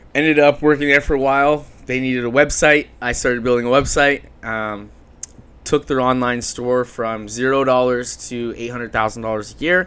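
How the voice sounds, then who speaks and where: The speaker has a Canadian accent and a moderate pace, with fairly even intonation. Noticeable background noise runs underneath. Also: man, medium pitch for a man. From Ontario, Canada (Chatham, London). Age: 20s. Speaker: marketing business founder. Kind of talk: podcast interview. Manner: casual, filler-heavy.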